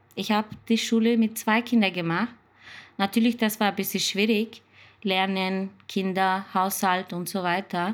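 This very clean recording with a silent background captures a woman speaking with a Turkish accent in a monotone, flat intonation. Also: medium pitch for a woman, fairly slow pace. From Turkey. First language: Turkish (speaking German). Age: 30s. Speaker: care assistant. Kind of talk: interview. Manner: halting.

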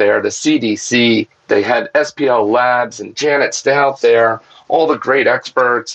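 With an unremarkable speaking voice at medium pitch, a man talks at a fairly slow pace with ordinary pitch variation. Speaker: water treatment business owner.

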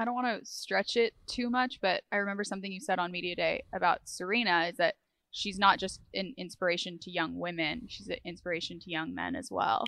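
Her loudness swings widely. The woman speaks with hardly any pauses. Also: fairly quick pace. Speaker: podcast co-host. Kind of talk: casual chat.

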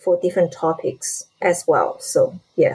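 A woman speaks with a Chinese accent. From China, Shanghai. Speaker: lawyer and ufologist. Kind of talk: casual interview.

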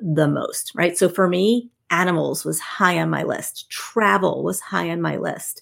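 A woman talks with a New Jersey accent. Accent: New Jersey American. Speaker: networking expert and author. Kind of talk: interview.

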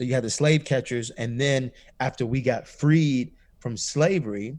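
Heard on a very clean recording with a silent background, a man with a plain, everyday voice and medium pitch talks at a fairly slow pace with ordinary pitch variation. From US South, Atlanta, Georgia. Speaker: pastor. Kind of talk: interview.

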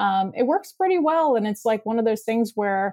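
A woman with a plain, everyday voice speaks at a fairly quick pace, her fairly high pitch moving in a lively way over a dry, close sound with no echo and a silent background on a very clean recording. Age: 30s. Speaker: branding and web design expert. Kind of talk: casual chat.

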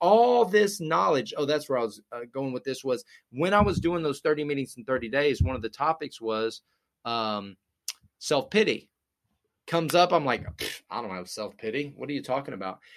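This man's pitch is fairly high, with very wide swings. He talks at a moderate pace. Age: 30s. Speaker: addiction recovery advocate and podcast host. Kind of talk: casual interview.

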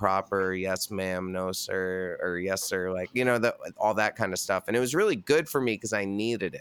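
This man has a plain, everyday voice at a fairly low pitch. He talks at a moderate pace with ordinary pitch variation. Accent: American. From US Northeast (New York State). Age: 30s. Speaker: metal band singer and podcaster. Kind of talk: casual chat.

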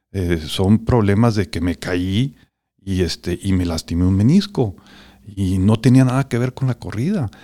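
A man's dark, mellow tone at a fairly slow pace, on a very clean recording with a silent background. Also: fairly low pitch for a man, ordinary pitch variation. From northern Mexico, Chihuahua. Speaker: business executive. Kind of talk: interview. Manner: halting.

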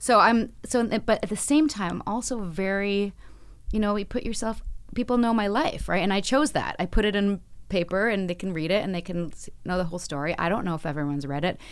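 On a very clean recording with a silent background, a woman with a plain, everyday voice speaks at a fairly quick pace, medium in pitch, with lively intonation. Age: 40s. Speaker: actress. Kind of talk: interview. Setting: studio.

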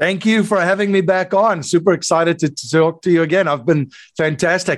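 With a South African accent, a man speaks at a high pitch and a fairly quick pace, keeping ordinary pitch variation and very even loudness. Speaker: investor and podcast host. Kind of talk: interview.

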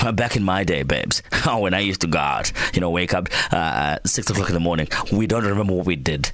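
A man with a very deep, low pitch, animated in tone and very fast, with ordinary pitch variation and very even loudness over noticeable background noise. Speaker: radio host. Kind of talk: radio DJ patter, drive-time show banter. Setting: radio studio. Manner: animated, quick-fire, jokey.

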